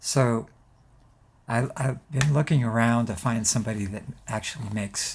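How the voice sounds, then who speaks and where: Speaking at a fairly slow pace, a man uses a fairly low pitch with vocal fry and ordinary pitch variation. The recording is very clean, with a silent background. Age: 70s. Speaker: guitar pickup maker. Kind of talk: casual video update. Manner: halting, many fillers.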